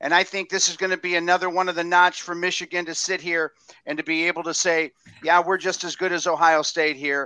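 A man talks fairly quickly in a high voice with a bright, sharp tone. The recording is very clean, its background silent. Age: 50s. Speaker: sports fan guest. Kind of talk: casual chat.

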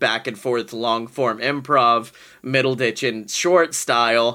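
With an American accent, a man speaks in a bright, sharp tone and fairly even intonation. The recording is very clean, with a silent background. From Alabama, US South. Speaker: podcast guest, performer. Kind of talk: casual improv chat.

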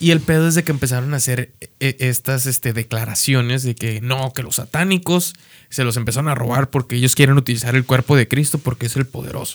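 In an ordinary speaking voice, a man talks at a fairly quick pace with medium pitch and fairly even intonation, the sound dry and close with no echo. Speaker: podcast co-host. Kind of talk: casual chat.

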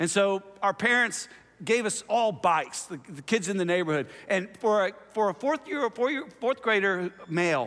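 A man speaks in a high pitch with a bright, sharp tone. His intonation is lively and his pace moderate. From US South (Oklahoma and Tennessee). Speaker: pastor. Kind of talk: sermon. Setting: church.

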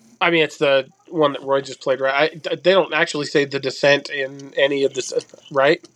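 Fairly high for a man, his voice runs at a fairly quick pace in a flat monotone. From Germany. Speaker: movie podcast guest. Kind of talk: casual chat.

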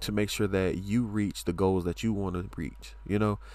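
On a very clean recording with a silent background, a man talks at a moderate pace with a fairly low pitch and ordinary pitch variation. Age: 20s. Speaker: podcaster. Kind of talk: casual monologue. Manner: animated.

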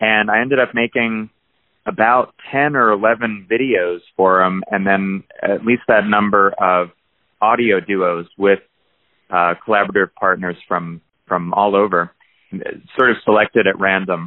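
A man with an American accent speaks fairly slowly at a fairly low pitch, keeping his loudness very even and his intonation fairly even. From New Jersey. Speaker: musician and audio engineer. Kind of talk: interview. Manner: halting, many fillers.

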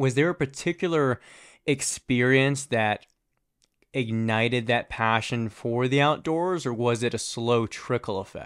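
In an American accent, a man with an ordinary speaking voice talks at a fairly slow pace and medium pitch, with ordinary pitch variation, on a very clean recording with a silent background. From US, Virginia suburbs. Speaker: podcast host. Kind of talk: casual interview. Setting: studio.

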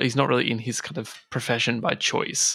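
A man with a bright, sharp tone at medium pitch, in a very clean recording with a silent background. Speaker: game master and podcast co-host. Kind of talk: casual chat.

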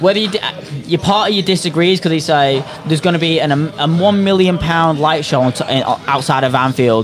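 A man at a moderate pace, with very even loudness and ordinary pitch variation, amid noticeable background noise. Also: fairly high pitch for a man. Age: 20s. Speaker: football podcast co-host. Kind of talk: casual chat. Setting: pub, live stream.

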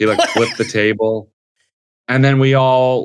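Here is a man with an unremarkable speaking voice and an American accent, talking fairly slowly. His intonation is fairly even, on a very clean recording with a silent background. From New Jersey. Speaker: stand-up comedian. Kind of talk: casual chat.

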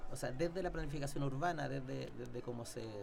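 Noticeable background noise sits behind the voice. A man talks fairly quickly at a fairly high pitch with ordinary pitch variation. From Chile, Santiago. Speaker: historian. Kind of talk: casual interview. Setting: studio.

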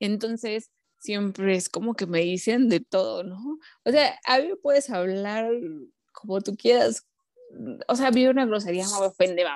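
A woman speaks at a fairly slow pace with long, frequent pauses, her pitch medium and its variation ordinary. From Mexico, Puebla. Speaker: psychologist and entrepreneur, football fan. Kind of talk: casual interview.

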